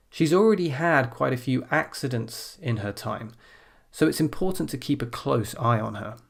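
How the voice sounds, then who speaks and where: On a very clean recording with a silent background, a man of medium pitch talks at a fairly slow pace with lively intonation. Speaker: IELTS speaking teacher. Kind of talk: tutorial; model exam answer. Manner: clear pronunciation.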